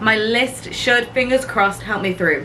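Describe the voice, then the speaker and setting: A woman with a British accent speaks at a fairly high pitch and a fairly even intonation over noticeable background noise. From UK. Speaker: cruise ship singer and vlogger. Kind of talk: casual vlog.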